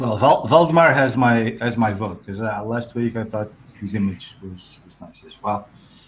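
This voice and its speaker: A man at a medium pitch and moderate pace, with ordinary pitch variation, big swings in loudness and noticeable background noise. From Portugal. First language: Portuguese. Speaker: 3D artist co-host. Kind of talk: casual chat.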